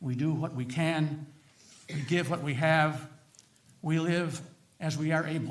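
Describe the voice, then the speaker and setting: Room echo is audible as a man with a fairly high pitch talks at a moderate pace. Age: 80s+. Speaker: retired minister. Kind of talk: legislative testimony. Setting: committee hearing.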